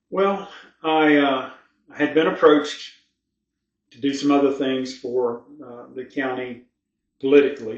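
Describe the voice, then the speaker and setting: Amid audible room echo, a man with an American accent talks at a fairly slow pace with fairly even intonation. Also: long, frequent pauses, big swings in loudness. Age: 60s. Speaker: local political candidate, retired sheriff. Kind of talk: interview.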